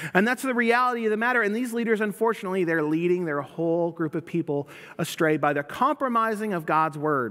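With an American accent, a man talks at a very fast pace in a high, bright, sharp voice, his intonation lively and hardly any pauses breaking it, against a quiet background. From US South. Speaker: pastor. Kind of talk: sermon. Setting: church. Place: church.

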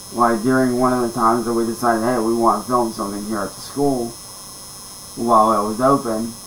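Fairly quick, monotone, flat delivery from a man over light background noise. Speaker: storyteller. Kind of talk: casual vlog chat. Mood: calm, low-key storytelling. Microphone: webcam.

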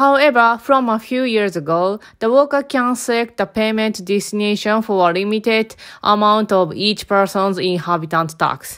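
A woman speaks at a moderate pace in a fairly high voice with ordinary pitch variation, hardly pausing, on a very clean recording with a silent background. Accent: Japanese. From Japan. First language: Japanese. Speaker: lifestyle vlogger. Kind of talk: vlog narration.

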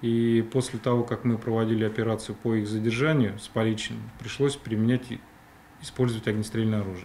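Over light background noise, a man with a dark, mellow tone talks at a fairly quick pace in a monotone, flat intonation. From Russia. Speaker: police criminal investigation chief. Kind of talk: TV interview. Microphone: studio mic.

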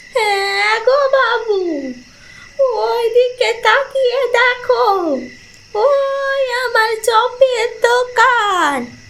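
A cartoonish character voice, female-sounding and extremely high in pitch, at a very slow pace. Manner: coaxing, sly.

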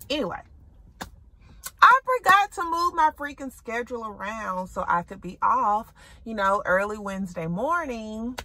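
In a Southern US accent, the speaker talks at a fairly slow pace with long, frequent pauses, very wide pitch swings and big swings in loudness, the sound dry with no echo and light background noise present. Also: woman. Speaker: shopping vlogger. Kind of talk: casual vlog chat. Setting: in a thrift store. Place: car. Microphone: phone near.

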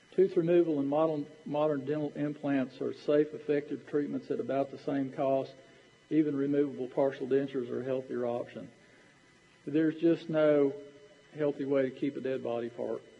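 This man has a Southern US accent and a fairly high pitch. He keeps a moderate pace and fairly even intonation. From Tennessee. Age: 60s. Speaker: dentist. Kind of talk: lecture. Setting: stage with audience. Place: hall.

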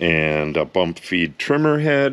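At a very slow speed, a man talks. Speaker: product reviewer. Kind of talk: casual unboxing review. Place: garage. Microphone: phone near.

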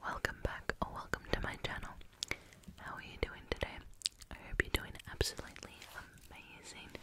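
Soft-spoken and whispering at a moderate pace, a woman is heard in a dry sound with no echo over loud background noise. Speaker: channel host. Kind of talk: soft-spoken reading of a children's book, ASMR style. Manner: soft close-mic ASMR whisper. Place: home room. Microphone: studio mic.

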